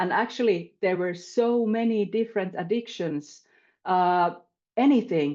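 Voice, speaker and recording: A woman speaks in a Finnish accent at a medium pitch and a fairly slow pace. Her pitch variation is ordinary, and the background is quiet. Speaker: panelist. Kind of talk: panel discussion. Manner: halting.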